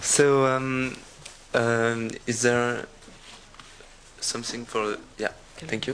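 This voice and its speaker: Against noticeable background noise, a man speaks at a very slow pace and medium pitch with a monotone, flat intonation and long, frequent pauses. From France (Corsica). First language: French. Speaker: accessibility expert, conference speaker. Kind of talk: conference presentation. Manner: halting, many fillers.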